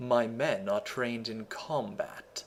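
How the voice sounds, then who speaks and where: A man puts on a character voice at a medium pitch, talking at a fairly slow pace. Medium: read story. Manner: cold, clipped.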